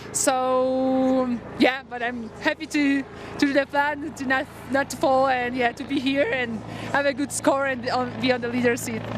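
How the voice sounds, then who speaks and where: Against noticeable background noise, a woman with a Polish accent speaks at a high pitch and moderate pace in a monotone, flat intonation. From Poland. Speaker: professional freeride snowboarder. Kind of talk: post-competition interview. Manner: halting.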